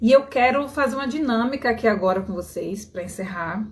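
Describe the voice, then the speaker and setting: Here a woman with a fairly high, somewhat breathy voice speaks in a strong Bahian accent. She keeps a moderate pace and ordinary pitch variation. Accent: strong Bahian Brazilian Portuguese. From Bahia, Brazil. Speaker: skin healing coach. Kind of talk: live stream talk to viewers. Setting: live stream. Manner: casual, conversational.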